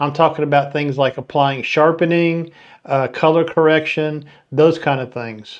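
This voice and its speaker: This man has a Southern US accent and a fairly high pitch. He keeps a moderate pace with fairly even intonation. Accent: twangy Southern US. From Florida. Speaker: photography channel host. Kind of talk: live stream talk. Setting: live stream.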